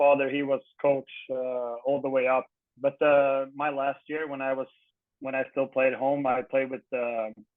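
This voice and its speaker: A man talks with a Swedish accent. His pitch is fairly high and his pace is moderate. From Sweden, Örebro county (Guldsmedshyttan). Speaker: retired ice hockey player. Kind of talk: casual interview. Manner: halting.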